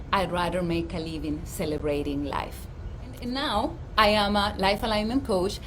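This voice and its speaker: A woman speaks over noticeable background noise, with audible echo in the room. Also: moderate pace. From Dominican Republic. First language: Spanish. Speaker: life coach and physician. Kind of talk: livestream talk. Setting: outdoors.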